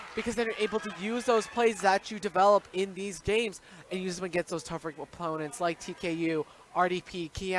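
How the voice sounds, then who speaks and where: The delivery is fairly quick, with big swings in loudness and ordinary pitch variation. The sound is dry and close with no echo, though background noise is noticeable. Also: man. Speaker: sports commentator. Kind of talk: live basketball play-by-play commentary.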